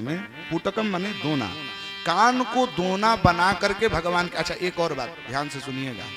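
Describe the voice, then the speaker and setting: A man's high, animated voice with lively intonation, over music in the background. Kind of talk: devotional religious discourse to a live audience. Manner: animated, rhetorical questioning, interacts with audience.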